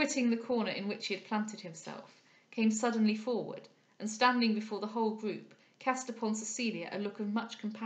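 An unforced reading voice carries fairly even intonation.

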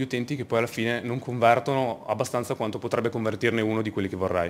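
Delivered at a fairly quick pace, the speech comes from a man. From northern Italy, Verona; northern Italy. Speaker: project manager and UX developer; conference speaker. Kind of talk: conference talk. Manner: halting, frequent word repetitions. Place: hall.

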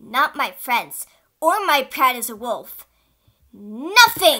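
A woman's cartoonish character voice, high pitched and bright, sharp in tone, with big pitch swings at a slow pace.

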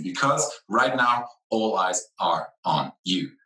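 A man speaks with a fairly low pitch and a bright, sharp tone. The background is quiet, with audible room echo. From Netherlands/Italy. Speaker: brand advisor and CEO; presenter. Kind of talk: conference talk. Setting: conference presentation. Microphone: webcam.

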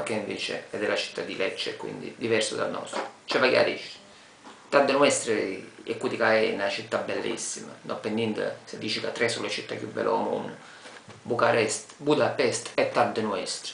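In a Taranto accent, a man speaks at a moderate pace amid audible room echo and light background noise. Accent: Tarantino dialect. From Taranto, Apulia, Italy. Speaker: local inviting visitors to his city. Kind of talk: casual talk to camera. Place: home room. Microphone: webcam.

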